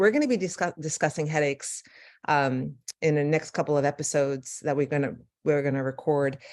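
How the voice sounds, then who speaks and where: In a very clean recording with a silent background, a woman with a New York accent speaks at a fairly quick pace in a very deep, low voice. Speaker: neurologist. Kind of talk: lecture. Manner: fast.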